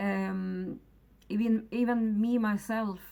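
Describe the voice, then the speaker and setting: A woman with a non-native accent is heard in a very clean recording with a silent background. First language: not English. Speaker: mental health vlogger. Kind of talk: personal testimony. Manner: halting, many fillers and restarts.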